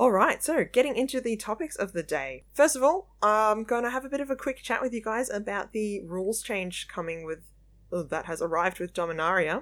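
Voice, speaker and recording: Fairly high in pitch, a woman with an Australian accent speaks at a fairly quick pace with very wide pitch swings and hardly any pauses, on a very clean recording with a silent background. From Melbourne, Australia. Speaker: podcast host and card game judge. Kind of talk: casual chat podcast discussion.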